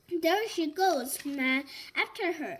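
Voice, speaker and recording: A woman puts on a growling, gruff character voice at an extremely high pitch. Her intonation is lively. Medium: read story. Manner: gruff, growling.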